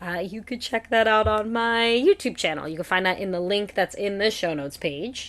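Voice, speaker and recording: Against a quiet background, a woman speaks with lively intonation. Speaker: podcast host. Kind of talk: solo podcast talk. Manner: fast; casual, chatty.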